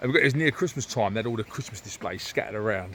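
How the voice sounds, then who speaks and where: Very fast and with lively intonation, a man speaks in a London accent. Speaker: podcast co-host. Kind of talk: casual chat.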